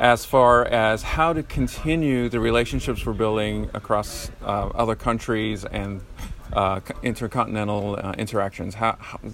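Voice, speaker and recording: This man's pitch varies in an ordinary way while noticeable background noise carries on around him. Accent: American. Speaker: podcast host. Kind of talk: interview and recap, casual.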